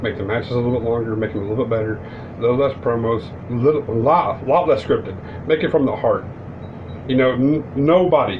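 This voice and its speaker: This man talks at a fairly quick pace with a medium pitch and ordinary pitch variation. Noticeable background noise and audible room echo are present. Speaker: wrestling commentary YouTuber. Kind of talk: casual vlog commentary. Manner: fast; stumbling over words.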